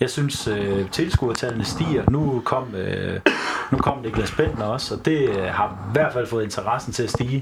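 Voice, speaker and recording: A man's fairly slow speech comes through noticeable noise in the background. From Horsens, Denmark. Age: 20s. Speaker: football fan, teacher student. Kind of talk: casual chat. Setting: studio. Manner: halting.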